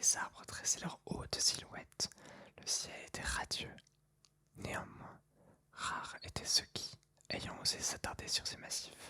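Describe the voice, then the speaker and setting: A woman whispering at a very slow pace, with long, frequent pauses and big swings in loudness. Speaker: ASMR reader. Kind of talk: whispered ASMR book reading for sleep. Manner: whispered, soft, slow.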